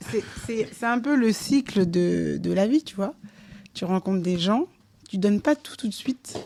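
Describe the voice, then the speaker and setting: A woman speaks at a fairly slow pace with long, frequent pauses, her tone dark and mellow and the sound dry and close with no echo. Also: medium pitch for a woman, lively intonation. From DR Congo, Kinshasa; also lived in Angola, Senegal, Mali. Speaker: entrepreneur and project director. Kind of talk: casual chat. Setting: her home.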